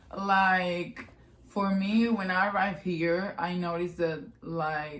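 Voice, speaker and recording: With audible room echo around her, a woman speaks at a fairly low pitch with fairly even intonation. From Spain, Barcelona. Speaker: podcast co-host, college athlete. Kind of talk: casual chat.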